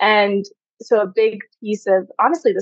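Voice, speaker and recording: A plain, everyday voice, a woman at medium pitch with an American accent, at a moderate pace. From US. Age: 30s. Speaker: sex coach. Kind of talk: interview conversation.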